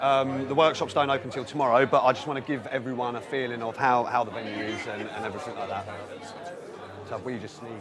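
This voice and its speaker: Over crowd noise and audible room echo, a man speaks at a very fast pace with fairly even intonation. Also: medium pitch for a man, big swings in loudness. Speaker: video host giving a venue tour. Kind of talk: walking tour commentary. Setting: conference venue, walking around.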